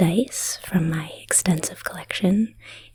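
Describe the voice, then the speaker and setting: Noticeable background noise runs under this clip. A woman speaks at a very slow pace. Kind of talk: ASMR dice show-and-tell. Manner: whispered.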